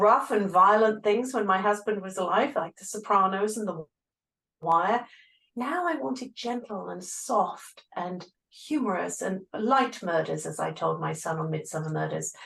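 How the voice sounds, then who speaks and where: A woman with an English accent speaks at a fairly slow pace, her loudness swinging widely. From England. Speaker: grief coach, former physical therapist. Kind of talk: interview.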